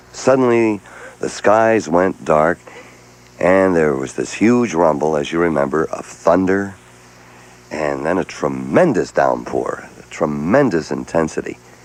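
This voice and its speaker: Over noticeable background noise, a man with a very deep, low pitch talks at a fairly slow pace with lively intonation. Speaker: radio host. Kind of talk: morning radio show, talking with callers. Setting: radio broadcast.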